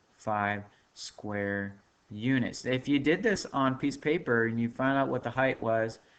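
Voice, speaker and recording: This man has an ordinary speaking voice at medium pitch, with ordinary pitch variation. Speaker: math teacher. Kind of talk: recorded lesson. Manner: casual, filler-heavy.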